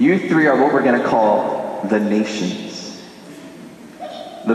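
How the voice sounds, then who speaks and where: A man talks at a fairly slow pace and medium pitch with lively intonation. Background noise is noticeable. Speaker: priest. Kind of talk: church homily. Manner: casual, playful.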